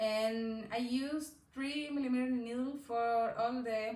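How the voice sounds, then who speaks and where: With a Chilean Spanish accent, a woman of fairly high pitch speaks at a very slow pace with fairly even intonation amid audible room echo. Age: 20s. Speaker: knitting podcaster. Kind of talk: casual chat. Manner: halting.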